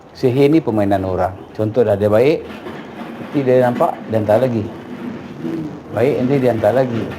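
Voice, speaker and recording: Moderate-paced speech from a man, broken by long, frequent pauses, over noticeable background noise. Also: medium pitch for a man, ordinary pitch variation, very even loudness. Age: 60s. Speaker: traditional healer. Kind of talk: consultation with clients.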